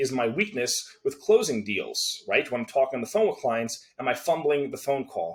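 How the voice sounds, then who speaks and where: Lively intonation marks this man's speech. His pace is very fast. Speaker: copywriting coach and agency owner. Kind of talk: tutorial. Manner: casual, filler-heavy.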